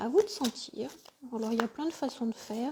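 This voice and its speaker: At a fairly quick pace, a woman speaks in a high voice with a dark, mellow tone. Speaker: spiritual coach and tarot reader. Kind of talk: live tarot reading session; guided meditation. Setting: live stream by the fireside. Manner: soft and gentle.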